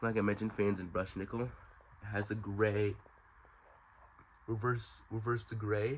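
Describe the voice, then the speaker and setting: A man talks at a moderate pace in a somewhat breathy, fairly low voice with monotone, flat intonation. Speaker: ceiling fan collector and reviewer. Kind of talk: product review video. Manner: casual, hesitant with fillers.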